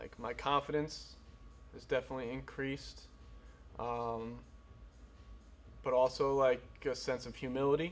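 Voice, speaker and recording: Taking long, frequent pauses, a man talks at a moderate pace with big swings in loudness. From US Northeast (New Preston, Connecticut). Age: 20s. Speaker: amateur MMA fighter. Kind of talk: documentary interview.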